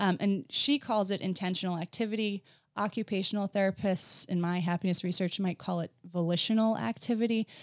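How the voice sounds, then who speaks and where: On a very clean recording with a silent background, a woman with an American accent and a plain, everyday voice speaks at medium pitch and a fairly quick pace, with ordinary pitch variation. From New Jersey, US. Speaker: potter and former occupational therapist. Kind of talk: interview conversation.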